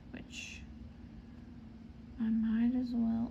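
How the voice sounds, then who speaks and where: Audible room echo surrounds a woman's voice. She speaks at a very slow pace. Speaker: cross-stitch vlogger. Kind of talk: casual stitch-along chat.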